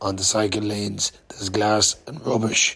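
A man with an Irish accent, fairly low in pitch, at a moderate pace with fairly even intonation, over noticeable background noise. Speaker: podcaster, cycle traveller. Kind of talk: casual vlog monologue. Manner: hesitant, many fillers.

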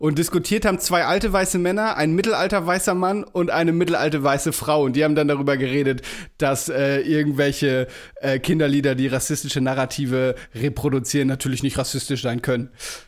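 Very fast and very even in loudness, a man with a fairly high pitch talks with ordinary pitch variation. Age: 30s. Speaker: podcast co-host. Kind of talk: casual chat. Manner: animated.

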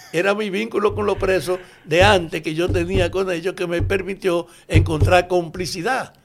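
A man speaks at a moderate pace in a high voice, with ordinary pitch variation. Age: 80s+. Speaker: former political prisoner and activist. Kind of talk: interview testimony.

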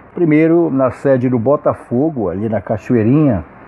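A man at medium pitch and a fairly slow pace, with lively intonation over noticeable background noise. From Manaus, Amazonas, Brazil. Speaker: samba musician and cultural researcher. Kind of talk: interview.

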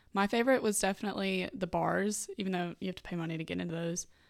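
A woman with an American accent speaks at a fairly quick pace in a medium pitch with ordinary variation. The recording is very clean, with a silent background. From Vicksburg, Mississippi. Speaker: university student. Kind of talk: interview.

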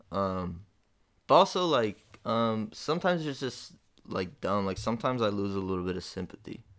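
A plain, everyday voice from a man with an American accent, fairly low in pitch, lively intonation, moderate pace, on a very clean recording with a silent background. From Detroit, US Midwest. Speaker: rapper and comedian. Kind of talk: casual chat.

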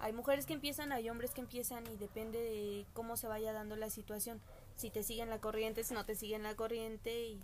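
Over noticeable background noise, a woman speaks at a fairly quick pace in a fairly high pitch with monotone, flat intonation. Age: 20s. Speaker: podcast guest. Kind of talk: casual chat.

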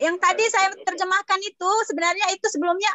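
This woman speaks with an extremely high pitch. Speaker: student. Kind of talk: online class. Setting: video call.

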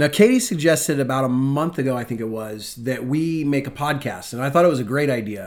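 This man has a normal speaking voice with an American accent and a fairly high pitch. He talks at a fairly quick pace with lively intonation. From US Pacific Northwest, Spokane, Washington. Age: 30s. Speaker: podcast co-host, church ministry leader, former Marine. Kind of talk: casual chat.

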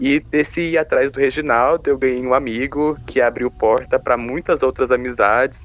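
A man's voice, medium in pitch, an unremarkable speaking voice at a moderate pace, with fairly even intonation and hardly any pauses. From Brazil, Goiás (Caldas Novas). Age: 20s. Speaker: podcast co-host, nursing student. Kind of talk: casual chat.

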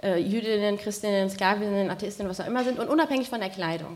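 Amid noticeable background noise and audible room echo, a woman speaks at medium pitch and a very fast pace with fairly even intonation. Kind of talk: panel debate. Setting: stage with audience.

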